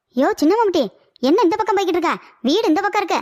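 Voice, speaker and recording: Shouting in a cartoonish character voice, a woman speaks at an extremely high pitch and a very fast pace, with lively intonation and very even loudness. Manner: shouting, teasing.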